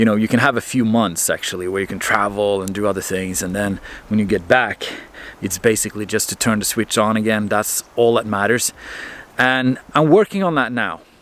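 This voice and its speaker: The speaker has a Norwegian accent and talks at a fairly quick pace with ordinary pitch variation. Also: man, fairly low pitch for a man. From Norway. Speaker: marine mechanic vlogger. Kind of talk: casual vlog monologue. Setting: by a fireplace.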